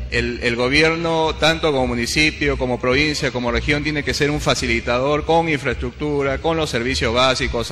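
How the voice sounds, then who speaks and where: A man keeps a moderate pace with hardly any pauses while noticeable background noise runs behind him. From Peru, Cañete. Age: young. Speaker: engineer and political hopeful. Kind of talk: interview.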